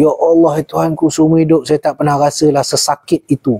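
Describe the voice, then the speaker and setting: Against a quiet background, a man speaks at a moderate pace in a fairly high pitch with a dark, mellow tone, the sound dry with no echo. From Malaysia. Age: 50s. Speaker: former army jungle survival instructor; jungle lore host. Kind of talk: casual chat. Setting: livestream. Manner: calm. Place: home room. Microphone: lapel.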